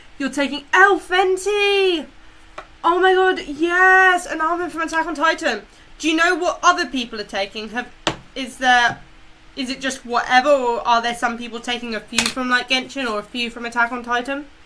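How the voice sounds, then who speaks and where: A raised, projected voice with lively intonation at a moderate pace. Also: woman, high pitch for a woman. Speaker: streamer and cosplayer. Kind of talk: casual chat. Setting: live stream on camera. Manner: loud; animated.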